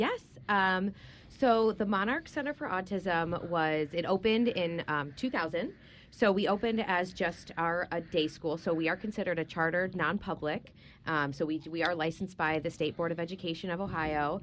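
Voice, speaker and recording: A woman with a fairly low pitch talks at a moderate pace with ordinary pitch variation. Hers is an unremarkable speaking voice, set against a quiet background. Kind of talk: radio interview.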